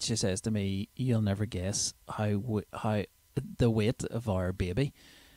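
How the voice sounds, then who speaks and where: A dark, mellow tone with a Northern Irish accent, very even loudness, fairly even intonation and a fairly slow pace, in a dry, close sound with no echo. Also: man, fairly low pitch for a man, very clean recording, silent background. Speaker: comedian. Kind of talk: comedy podcast monologue. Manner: casual, chatty.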